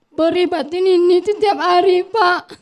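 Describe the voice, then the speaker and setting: A woman speaks at a very slow pace. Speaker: victim's mother. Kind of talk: emotional plea.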